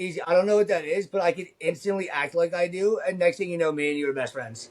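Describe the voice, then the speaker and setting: Against noticeable background noise, a loud, animated man with a high pitch talks very fast. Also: ordinary pitch variation. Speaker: convention art vendor, former retail salesman. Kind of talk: casual chat. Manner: fast, animated.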